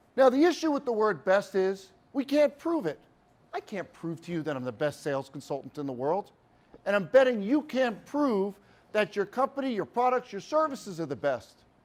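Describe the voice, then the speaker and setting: This man speaks in an East Coast US accent with a high pitch and an animated tone. His pitch swings very widely at a moderate pace. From US East Coast. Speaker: sales speaker. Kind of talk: keynote talk. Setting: stage with audience.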